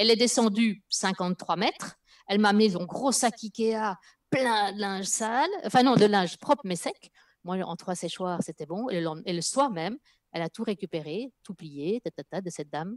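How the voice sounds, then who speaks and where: At a moderate pace, a woman speaks with lively intonation and big swings in loudness against a quiet background. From Spain. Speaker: linguist and former corporate EU affairs professional; guest or co-host. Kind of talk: live video interview. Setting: video call. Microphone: headset.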